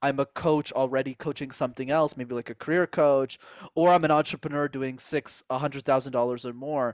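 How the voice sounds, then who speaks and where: A man with a Canadian accent talks at a fairly quick pace in a fairly high, monotone voice with flat intonation. The recording is very clean with a silent background, and the sound is dry and close with no echo. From Canada, Montreal. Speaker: speaking coach. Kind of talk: interview.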